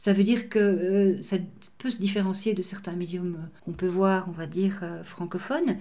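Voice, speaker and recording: A woman at a medium pitch with a dark, mellow, somewhat breathy tone and fairly even intonation, in audible room echo. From Belgium. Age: old. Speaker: medium and translator. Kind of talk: interview.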